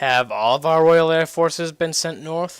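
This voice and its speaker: Here a man uses a put-on character voice. It sits fairly high in pitch. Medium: read story. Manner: dry, curt.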